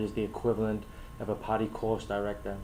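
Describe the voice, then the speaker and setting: A man with a non-native accent speaks at a fairly low pitch in a monotone, flat intonation. Audible room echo surrounds his voice. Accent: foreign. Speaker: scuba instructor trainer. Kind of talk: prepared talk to camera. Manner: hesitant, many fillers.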